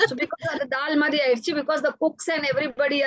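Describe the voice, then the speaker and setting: Delivery is very fast. The recording sounds dry and close, without any echo. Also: woman. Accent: Tamil. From India, Tamil background. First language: Tamil. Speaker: food service professional. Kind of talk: interview on a panel.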